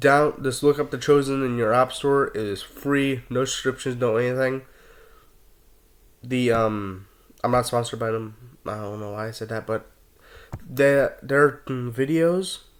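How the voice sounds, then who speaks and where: A man speaks at a medium pitch and a fairly slow pace. His intonation stays fairly even. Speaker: Bible study video creator. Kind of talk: Bible study talk with personal reflection. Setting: at home, self-recorded video. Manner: halting, frequent self-corrections.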